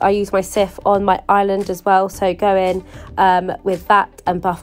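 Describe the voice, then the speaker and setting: A woman's voice with music in the background. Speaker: lifestyle YouTuber. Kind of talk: casual voice-over for a cleaning vlog.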